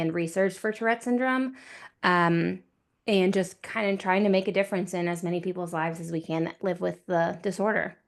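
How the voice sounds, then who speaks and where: A woman with an American accent talks at a moderate pace and medium pitch, her intonation fairly even over a quiet background. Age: 30s. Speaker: author and nonprofit event organizer. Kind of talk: guest talk in a class. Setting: video call. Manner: hesitant fillers.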